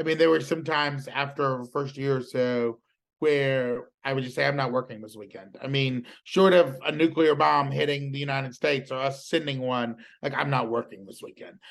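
This man has an American accent and a fairly high pitch, speaking at a moderate pace. His intonation is fairly even, while his loudness swings widely. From US South, rural South Carolina. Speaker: political journalist. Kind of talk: interview conversation.

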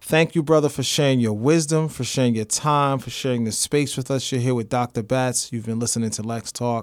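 A man with an unremarkable speaking voice talks at a fairly quick pace on a very clean recording with a silent background. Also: medium pitch for a man, fairly even intonation, hardly any pauses. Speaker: podcast host. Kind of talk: interview. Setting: studio.

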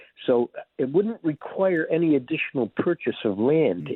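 With an American accent, a man talks at a moderate pace. His pitch swings very widely. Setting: phone call.

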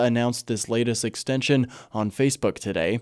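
Monotone, flat intonation marks a man speaking at medium pitch and a fairly quick pace. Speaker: radio news anchor. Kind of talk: evening radio newscast, reading short regional wildfire, wildlife and border items. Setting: radio studio. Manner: measured, even-paced formal newsreader delivery; crisp, neutral public-radio anchor tone moving briskly between stories.

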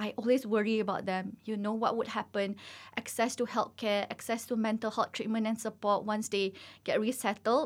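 The speaker has a Malaysian accent and talks at a moderate pace. The intonation is monotone and flat. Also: woman. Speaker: physician. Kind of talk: interview. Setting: studio.

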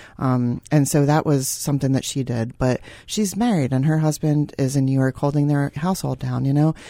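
On a very clean recording with a silent background, a woman with a very deep, low pitch and a dark, mellow tone speaks fairly quickly with ordinary pitch variation. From Philadelphia, US. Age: 40s. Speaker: cancer survivor. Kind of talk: interview. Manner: hesitant, many fillers.

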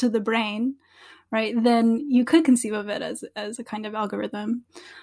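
A woman with a New Jersey accent and fairly even intonation. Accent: American, New Jersey. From US Northeast, New Jersey. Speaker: philosophy professor. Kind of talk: interview conversation.

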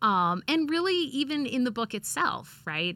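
A woman speaks with very wide pitch swings and a bright, sharp tone. The recording is very clean, with a silent background. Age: 40s. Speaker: English professor. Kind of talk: casual chat. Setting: studio.

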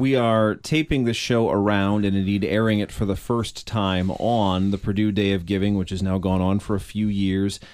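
A man with an unremarkable speaking voice talks at a moderate pace and a fairly low pitch, with fairly even intonation and hardly any pauses. The recording is very clean, with a silent background. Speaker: radio host. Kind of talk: radio interview. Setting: studio.

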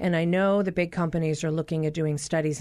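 A woman talks at a fairly quick pace in an ordinary speaking voice. Her pitch sits fairly low. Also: quiet background. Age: 40s. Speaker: physician and radio health show host. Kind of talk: call-in radio interview. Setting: studio.

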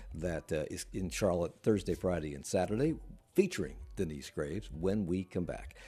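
A dark, mellow tone with vocal fry, at a moderate pace. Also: man. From Washington DC. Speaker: radio host. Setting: remote interview.

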